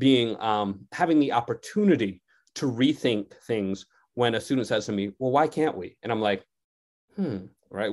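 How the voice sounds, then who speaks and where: With an unremarkable speaking voice, a man talks at a moderate pace and medium pitch with lively intonation, in a very clean recording over a silent background. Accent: American. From Connecticut. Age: 40s. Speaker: sociology professor. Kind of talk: radio interview.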